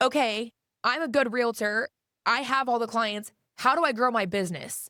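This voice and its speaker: Loud and animated, a woman talks at a moderate pace with a fairly high pitch, ordinary pitch variation and a bright, sharp tone. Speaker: real estate agent. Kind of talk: casual interview chat. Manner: animated, outspoken.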